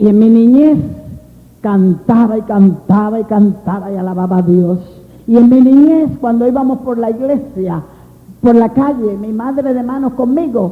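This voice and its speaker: A woman's fairly high voice with lively intonation at a fairly slow pace, with audible room echo. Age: 60s. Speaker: preacher. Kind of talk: sermon. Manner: animated.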